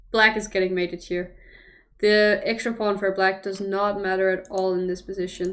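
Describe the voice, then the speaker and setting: The speaker talks at a moderate pace. The intonation is monotone and flat. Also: woman, medium pitch for a woman. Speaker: chess commentator. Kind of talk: casual chat with stream viewers; live commentary. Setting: livestream.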